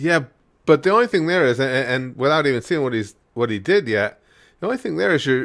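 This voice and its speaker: A man speaks in a normal speaking voice at a medium pitch with lively intonation. The recording is very clean, with a silent background. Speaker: YouTube wrestling commentary host. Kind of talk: casual talk to camera, reacting to clips. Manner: relaxed, joking, conversational.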